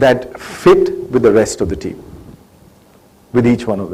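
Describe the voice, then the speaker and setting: A man talks in an Indian accent. Both noticeable background noise and audible room echo are present. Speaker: government agency head. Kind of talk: interview on stage. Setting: stage with audience.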